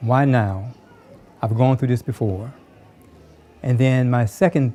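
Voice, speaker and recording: A man talks at a fairly slow pace and medium pitch, his intonation fairly even. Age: 60s. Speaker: pastor. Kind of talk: testimony.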